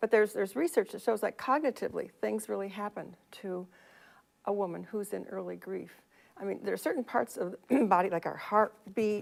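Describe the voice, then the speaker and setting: A woman talks at a medium pitch, with vocal fry in her voice. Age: 70s. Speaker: financial planner. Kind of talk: interview.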